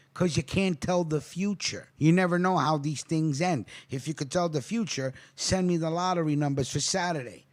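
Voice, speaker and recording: The speaker has a New York accent and talks at a moderate pace with ordinary pitch variation. The recording is very clean, with a silent background. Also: man. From New York City, Queens. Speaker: crime story narrator. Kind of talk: casual aside; reading aloud news article with commentary.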